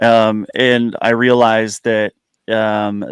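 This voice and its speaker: In an American accent, a man speaks at a very slow pace with monotone, flat intonation, the sound dry and close with no echo. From United States. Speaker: YouTuber guest. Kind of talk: casual chat.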